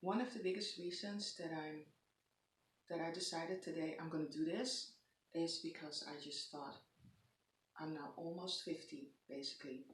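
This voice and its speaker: With a Dutch accent, a woman speaks in a somewhat breathy, fairly low voice with ordinary pitch variation, long, frequent pauses, and audible room echo. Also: moderate pace. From Netherlands. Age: 40s. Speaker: lifestyle vlogger. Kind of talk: casual vlog monologue. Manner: halting, many pauses and fillers.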